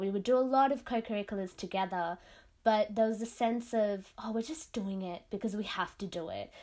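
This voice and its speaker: With an Australian accent, a woman talks at a moderate pace in a fairly high pitch with ordinary pitch variation, recorded very cleanly against a silent background. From Sydney, Australia. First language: Tamil. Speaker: classical dancer. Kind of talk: interview.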